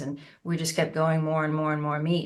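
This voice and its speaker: A woman with an American accent speaks at a very deep, low pitch. Her intonation is monotone and flat, and her pace is fairly quick. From United States. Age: 60s. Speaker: osteopath and naturopath. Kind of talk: interview.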